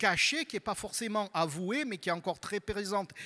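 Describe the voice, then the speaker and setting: A man with a Marseille accent, high-pitched, with a bright, sharp tone and a raised, projected voice at a moderate pace, in a very clean recording with a silent background. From southern France, Marseille. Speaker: university researcher. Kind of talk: panel talk presentation. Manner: halting, many repetitions and fillers.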